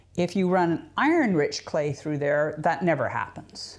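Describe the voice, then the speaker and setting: A woman with a Canadian accent and an unremarkable speaking voice, fairly low-pitched, at a moderate pace, on a very clean recording with a silent background. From Canada. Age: 60s. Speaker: potter. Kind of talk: tutorial. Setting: pottery studio. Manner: casual, conversational with fillers.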